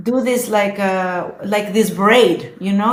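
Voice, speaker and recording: Somewhat breathy and very slow, a woman with a Spanish accent talks at a medium pitch with ordinary pitch variation and audible room echo. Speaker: social media influencer. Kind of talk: casual chat. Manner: halting.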